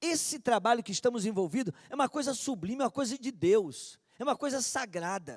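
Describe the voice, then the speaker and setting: In a very clean recording with a silent background and a dry, close sound with no echo, a man speaks at a moderate pace with a high pitch and very wide pitch swings. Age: 60s. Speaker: preacher. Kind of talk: sermon.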